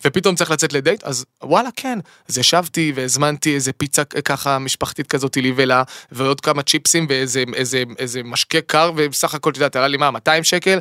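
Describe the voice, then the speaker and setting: Against a silent background in a very clean recording, a man talks at a fairly quick pace with a fairly high pitch, a bright, sharp tone and ordinary pitch variation, the sound dry and close with no echo. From Israel, Eilat. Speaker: singer and songwriter. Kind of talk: casual chat. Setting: studio. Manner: halting with repetitions.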